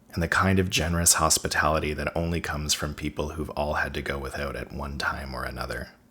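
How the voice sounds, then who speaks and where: A man talks at a very fast pace with hardly any pauses, in a very deep, low pitch. His intonation is fairly even, and there is noticeable background noise. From Cape Breton, Nova Scotia. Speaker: video essayist. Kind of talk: scripted narration.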